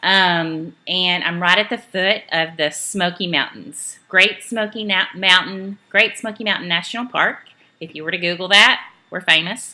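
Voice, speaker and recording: Bright and sharp in tone, a woman with a Southern US accent speaks at a moderate pace and medium pitch, her intonation fairly even and her loudness swinging widely. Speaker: network marketing trainer. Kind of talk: training talk. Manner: casual, many filler ums.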